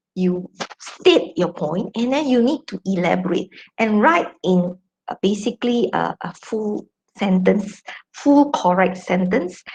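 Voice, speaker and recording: A woman's somewhat breathy, medium-pitched voice at a very slow pace, with lively intonation. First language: not English. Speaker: academic journal editor and lecturer. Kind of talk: academic talk. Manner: hesitant, many fillers.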